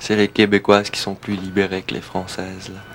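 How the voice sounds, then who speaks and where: A man's fairly low voice holds fairly even intonation against noticeable background noise. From France, Alsace. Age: 20s. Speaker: DJ and record seller. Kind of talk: documentary interview. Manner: hesitant, many fillers.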